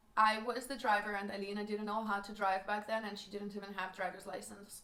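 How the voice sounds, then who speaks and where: A woman speaks fairly quickly in a strong Russian accent, her intonation flat and monotone. Background noise is noticeable. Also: medium pitch for a woman. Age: 20s. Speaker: vlogger. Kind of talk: personal life story.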